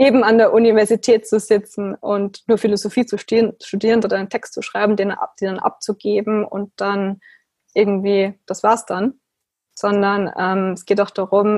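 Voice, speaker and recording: The speaker keeps a moderate pace and a monotone, flat intonation throughout. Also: woman. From Austria. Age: 20s. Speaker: philosophical practitioner. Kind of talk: interview.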